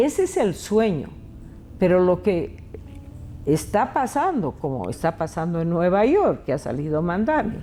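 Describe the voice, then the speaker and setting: This woman's voice sits at a medium pitch and moves through very wide pitch swings. She leaves long, frequent pauses. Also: fairly slow pace. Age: 80s+. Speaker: educator and author. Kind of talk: interview.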